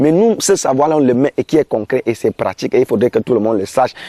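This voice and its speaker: Fairly high in pitch, this man's voice has a dark, mellow tone and lively intonation. He talks at a very fast pace, the sound dry and close with no echo. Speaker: community organization leader. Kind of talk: interview. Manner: animated.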